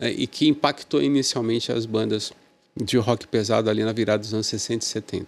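Vocal fry marks a man's medium-pitched voice. He keeps a moderate pace with ordinary pitch variation. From Brazil, Santos (São Paulo state). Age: 50s. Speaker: music journalist and critic. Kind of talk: casual interview chat.

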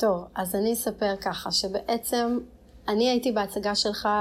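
This woman's voice sits at a medium pitch and keeps a fairly even intonation. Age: 30s. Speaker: podcast host and blogger. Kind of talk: casual interview.

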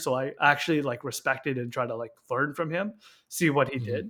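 In a Canadian accent, a man talks at a very fast pace, his fairly high voice bright and sharp in tone. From Canada, Victoria BC. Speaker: cadet instructor officer. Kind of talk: interview.

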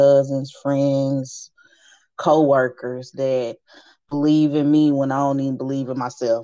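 In a Southern US accent, a woman talks in a very deep, low voice with a dark, mellow tone. Her intonation is flat and monotone. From Nashville, Tennessee. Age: 30s. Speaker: small business owner. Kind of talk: interview.

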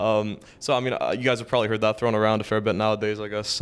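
A man with a Toronto accent speaks at medium pitch. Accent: Toronto Canadian English. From Canada, Toronto (Scarborough). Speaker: university student. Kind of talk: casual chat. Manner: halting, many fillers.

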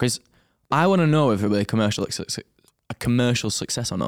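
Lively intonation in an English accent, very fast pace, very clean recording with a silent background. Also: man. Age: 20s. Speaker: trainee pilot, podcast co-host. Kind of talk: casual chat.

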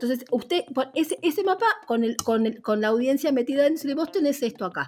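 Fairly quick speech with music in the background. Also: woman, high pitch for a woman. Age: 50s. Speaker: radio journalist. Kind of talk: interview conversation. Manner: halting.

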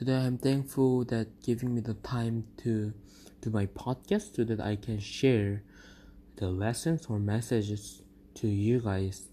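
With a non-native accent, a man speaks at a fairly slow pace in a medium pitch, with a dark, mellow tone and fairly even intonation. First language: not English. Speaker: podcast host. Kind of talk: devotional talk.

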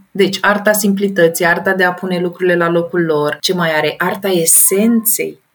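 Speaking at a moderate pace, a woman has an animated tone. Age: 30s. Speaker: professional organizer. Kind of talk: interview.

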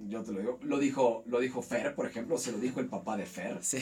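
A man speaks at medium pitch, varying it in an ordinary way, as music plays in the background. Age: 40s. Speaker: university teacher. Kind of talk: casual interview.

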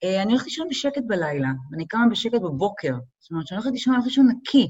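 A woman speaks in a somewhat breathy voice. Her pitch swings very widely. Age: 40s. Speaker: model and event producer. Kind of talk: casual chat.

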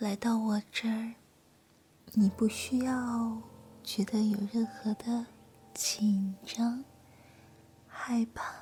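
Long pauses break up the speech again and again. Overall the pace is very slow. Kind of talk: whispered ASMR roleplay, soothing listener-style monologue. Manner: soft, slow, hushed and intimate, gentle reassuring tone.

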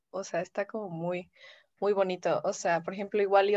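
A woman's monotone, flat delivery, dry and close with no echo, over a quiet background. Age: 20s. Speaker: communication student and radio host. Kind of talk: casual chat.

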